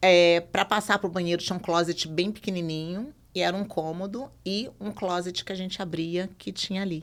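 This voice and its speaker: A woman speaks in a plain, everyday voice at medium pitch. Her moderate pace has hardly any pauses, and her intonation is fairly even. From Brazil, Minas Gerais (Belo Horizonte). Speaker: podcast guest sharing life story. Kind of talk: conversational podcast testimony.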